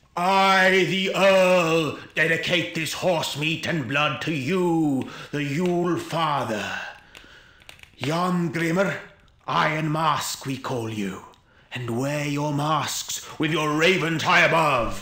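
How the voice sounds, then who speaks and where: A man talks at a very slow pace. His pitch variation is ordinary. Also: fairly high pitch for a man. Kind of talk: ritual invocation.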